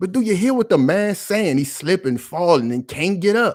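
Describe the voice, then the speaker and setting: Shouting loudly at a moderate pace, a man with a high pitch makes very wide pitch swings. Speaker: political commentary YouTuber. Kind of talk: impassioned commentary monologue. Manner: loud, yelling; animated, passionate.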